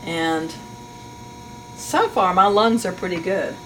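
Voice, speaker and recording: Against noticeable background noise, a woman speaks at a very slow pace with lively intonation. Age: 60s. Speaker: master sharpener. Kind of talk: tutorial. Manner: casual, thinking aloud while working.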